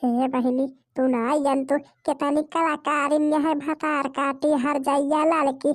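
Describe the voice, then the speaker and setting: A woman's cartoonish character voice, high-pitched and flat in a monotone, at a fairly slow pace with hardly any pauses and very even loudness. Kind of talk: rustic comic cartoon acting. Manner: loud, cursing, dramatic.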